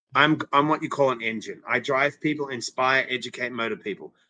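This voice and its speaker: With a non-native accent, a man speaks at a fairly quick pace. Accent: foreign accent, noticeable. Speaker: interventionist, former TV personality. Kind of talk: interview, personal story. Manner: energetic, animated.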